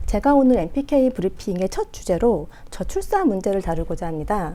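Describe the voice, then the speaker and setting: With a slight non-native accent, a woman speaks in a dark, mellow tone. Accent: slight foreign-tinged Korean pronunciation. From France. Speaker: political commentator. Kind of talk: political commentary broadcast. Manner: hesitant fillers.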